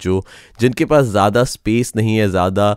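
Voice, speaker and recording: Recorded dry with no echo and a quiet background, a man speaks. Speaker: gear reviewer. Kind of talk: product review talk. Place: studio. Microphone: studio mic.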